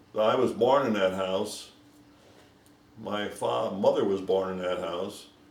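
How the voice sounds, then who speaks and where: With an American accent, a man talks at a fairly slow pace in a fairly low voice, leaving long, frequent pauses, his pitch varying in an ordinary way against noticeable background noise. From St. Louis area, Missouri. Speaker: longtime local resident, Navy veteran. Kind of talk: oral history interview.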